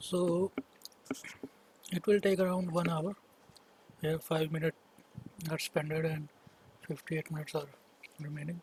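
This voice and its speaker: This man speaks in a flat monotone at a fairly high pitch, with long, frequent pauses and a dry, close sound with no echo. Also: moderate pace. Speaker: 3D software tutorial maker. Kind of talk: tutorial. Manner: halting.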